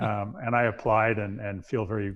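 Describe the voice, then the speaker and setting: Against a quiet background, the voice comes across somewhat breathy. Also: man. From New York. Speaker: former astronaut, naval aviator. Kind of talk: interview answer. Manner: soft-spoken.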